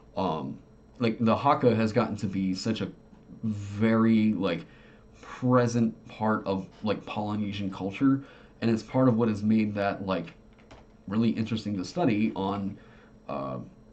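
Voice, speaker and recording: In an Oklahoma accent, a man with fairly low pitch talks at a fairly slow pace, with ordinary pitch variation and long, frequent pauses. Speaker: tabletop game designer and streamer. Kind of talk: casual livestream chat. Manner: halting, many fillers.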